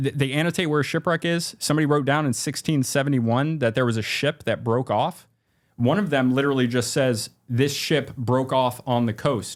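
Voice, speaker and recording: This very clean recording has a silent background. A man talks at a fairly quick pace in a medium pitch with ordinary pitch variation. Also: very even loudness. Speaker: maritime archaeology YouTuber. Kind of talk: casual interview. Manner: fast; halting.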